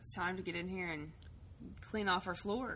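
A woman speaks with a fairly low pitch. Her tone is fairly bright. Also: ordinary pitch variation, moderate pace.

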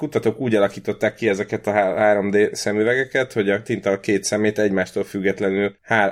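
Speaking at a fairly quick pace, a man barely pauses at all. His fairly low voice stays monotone and flat. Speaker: podcast co-host. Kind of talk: casual chat. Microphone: new computer recording setup.

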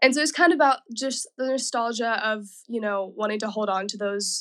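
A woman with a plain, everyday voice talks at a moderate pace, her fairly high pitch showing ordinary variation. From US South, Nashville. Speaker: pop-soul singer. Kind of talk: interview.

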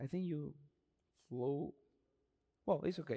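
A man is speaking. He has a Spanish accent. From Dominican Republic. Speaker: pastor. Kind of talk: sermon. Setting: church with congregation. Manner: halting.

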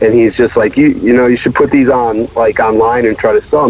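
Words pour out very fast from a man with an American accent. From Connecticut. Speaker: record label owner. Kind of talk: interview. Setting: phone call.

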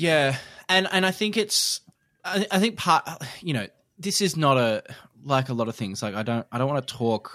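With very wide pitch swings and long, frequent pauses, a man talks at a moderate pace and fairly high pitch, his tone bright and sharp in a dry, close, very clean recording with no echo and a silent background. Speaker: podcast host. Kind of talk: casual chat. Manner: chatty, laughs often.

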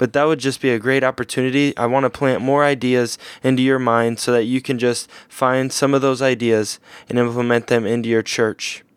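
Delivered at a fairly quick pace with an American accent, the voice keeps a monotone, flat intonation and very even loudness in a dry, close sound with no echo. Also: man, medium pitch for a man. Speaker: pastor and podcast host. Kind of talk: casual interview.

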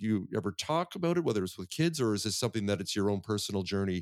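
A man with a Canadian accent, fairly low-pitched, at a very fast pace with ordinary pitch variation, on a very clean recording with a silent background. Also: dry, close sound with no echo. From Vancouver, Canada. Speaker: podcast host. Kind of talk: casual interview chat. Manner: fast talker when excited.

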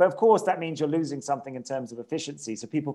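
This man speaks with a southern English accent. His intonation is lively. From England, Cambridge. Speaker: policy analyst. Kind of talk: interview. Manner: halting, with repetitions.

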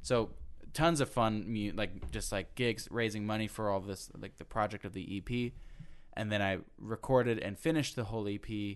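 At a moderate pace, a man speaks in a fairly low pitch with ordinary pitch variation, an ordinary speaking voice. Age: 20s. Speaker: guest, former singing competition contestant. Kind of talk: casual interview.

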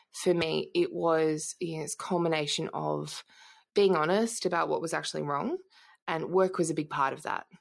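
On a very clean recording with a silent background, a woman with an Australian accent speaks at a moderate pace. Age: 30s. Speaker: entrepreneur and former police intelligence analyst. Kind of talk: interview conversation.

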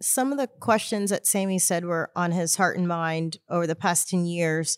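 A woman with a plain, everyday voice, fairly low pitch and an American accent, in a very clean recording with a silent background. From Houston, Texas. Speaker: ministry co-leader. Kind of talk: casual chat.

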